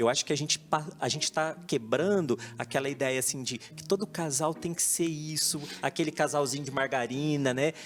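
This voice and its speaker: The speaker has a normal speaking voice and talks at a moderate pace. Pitch varies in an ordinary way. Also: man, fairly high pitch for a man. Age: 40s. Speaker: social media and relationships researcher. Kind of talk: TV talk show discussion.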